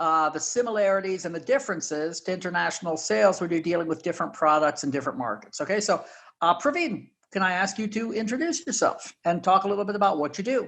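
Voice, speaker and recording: With an American accent, a man talks at a very fast pace with high pitch and lively intonation against a quiet background. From United States. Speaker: podcast host and sales executive. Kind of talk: podcast interview.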